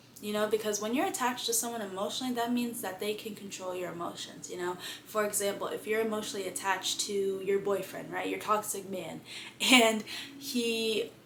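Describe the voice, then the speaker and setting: A woman talks at a fairly quick pace in a fairly high pitch, with ordinary pitch variation and audible room echo. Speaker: lifestyle vlogger. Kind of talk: casual vlog monologue. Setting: in bed at home. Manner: fast.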